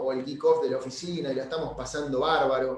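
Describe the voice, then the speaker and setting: A man's fairly high-pitched voice with audible room echo and noticeable background noise. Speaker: real estate broker, webinar speaker. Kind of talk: webinar presentation. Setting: online webinar. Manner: halting, many repetitions and fillers.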